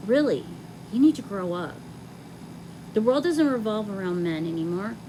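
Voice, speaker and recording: The pitch swings very widely up and down. Background noise is noticeable throughout. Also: woman. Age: 40s. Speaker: video gamer. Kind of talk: monologue rant. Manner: animated.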